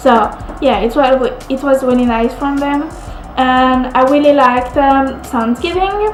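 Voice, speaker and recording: A woman with a French accent speaks at a high pitch with ordinary pitch variation, with music playing in the background. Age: 20s. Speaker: au pair. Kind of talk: casual talk to camera.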